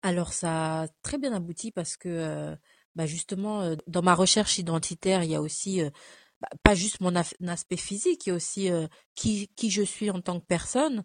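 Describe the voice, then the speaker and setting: Recorded with a dry, close sound and no echo, a woman talks in a normal speaking voice, fairly low in pitch with ordinary pitch variation, at a moderate pace. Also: quiet background. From France, arrived from Cameroon at 5. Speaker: photo model and image consultant. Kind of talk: casual interview.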